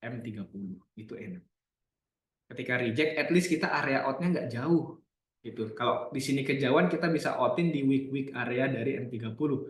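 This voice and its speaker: At a fairly quick pace, a man speaks in an unremarkable speaking voice of medium pitch with ordinary pitch variation. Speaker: trading analyst. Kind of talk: live trading webinar. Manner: casual.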